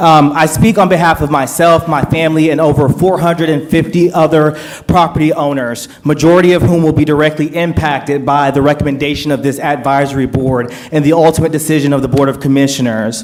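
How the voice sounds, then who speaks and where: The speech runs at a fairly quick pace with hardly any pauses and fairly even intonation. Background noise is noticeable. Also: man, fairly high pitch for a man. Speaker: attorney speaking as resident in public comment. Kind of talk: public comment at board meeting. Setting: public hearing with audience. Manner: fast; formal.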